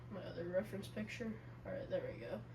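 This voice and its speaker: A quiet woman's voice comes through noticeable background noise and audible room echo. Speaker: gaming YouTuber. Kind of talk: gameplay commentary. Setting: home recording.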